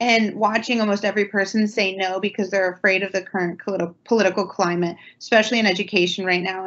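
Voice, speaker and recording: A woman speaks at a fairly quick pace with monotone, flat intonation. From central Ohio. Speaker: township trustee; panelist. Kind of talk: panel discussion. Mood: earnest, reflective. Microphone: video call.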